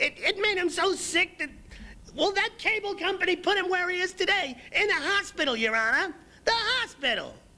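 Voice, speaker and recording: The speaker puts on a character voice. The delivery is neither fast nor slow. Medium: comedy sketch. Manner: rambling, repetitive.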